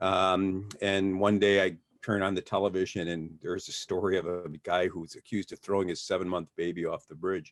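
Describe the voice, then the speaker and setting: Very deep, low-pitched man at a fairly quick pace, with flat, monotone intonation, hardly any pauses, and a quiet background. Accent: American. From Detroit, Michigan. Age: 60s. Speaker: defense attorney. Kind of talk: interview. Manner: halting, repeats words.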